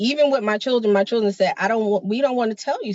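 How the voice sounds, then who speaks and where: A woman's fairly high, animated voice with an American accent and ordinary pitch variation. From New York. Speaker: podcast co-host. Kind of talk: casual chat.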